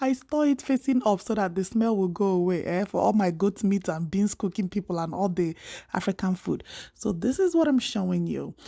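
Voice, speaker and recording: On a very clean recording with a silent background, a woman with a dark, mellow tone and medium pitch speaks at a fairly quick pace with lively intonation. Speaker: cooking YouTuber. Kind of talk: cooking tutorial. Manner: casual, chatty.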